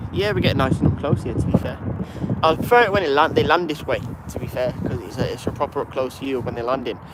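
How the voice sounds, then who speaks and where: A fairly high male voice at a very fast pace, with lively intonation and noticeable background noise. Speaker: plane spotting livestreamer. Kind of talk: live stream commentary and chat. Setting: outdoors at airport. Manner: casual, chatty.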